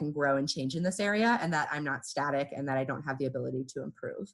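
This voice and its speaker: A woman talks fairly quickly, with ordinary pitch variation, and the background stays quiet. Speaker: workshop facilitator. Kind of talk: online workshop. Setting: video call. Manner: conversational.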